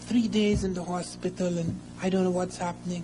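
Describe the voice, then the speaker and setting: A man talks at a high pitch with ordinary pitch variation. The recording has audible room echo and noticeable background noise. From Africa. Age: 60s. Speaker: lecturer. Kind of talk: lecture.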